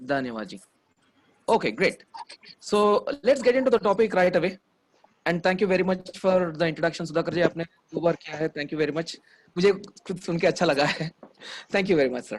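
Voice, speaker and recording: With lively intonation and long, frequent pauses, a man speaks in a high voice. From India, Hyderabad. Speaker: memory trainer. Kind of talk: online workshop talk. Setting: online video session.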